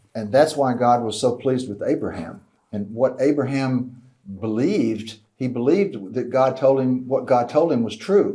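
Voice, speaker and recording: At a moderate pace, a man talks at a medium pitch with ordinary pitch variation, long, frequent pauses and audible room echo. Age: old. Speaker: Bible teacher. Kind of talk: lecture. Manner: conversational.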